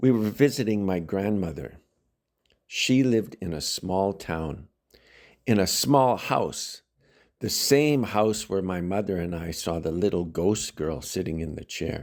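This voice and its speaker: A man talks with a Canadian accent in a plain, everyday voice. His pitch is fairly low, his intonation lively, and his pace fairly slow. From Saskatchewan, Canada. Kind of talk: read story for English learners. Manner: slow, clear.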